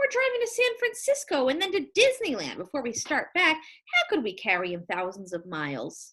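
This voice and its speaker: A woman puts on a character voice at an extremely high pitch. She keeps a moderate pace with hardly any pauses. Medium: read story. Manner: bright, gushing.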